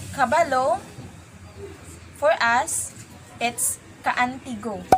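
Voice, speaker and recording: Speaking very slowly in a Visayan accent, a woman with a high voice is heard over noticeable background noise. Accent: Filipino English, Visayan. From Philippines, Socorro (Visayas/Mindanao). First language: Visayan (Socorronhon dialect). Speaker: college student. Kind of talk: interview.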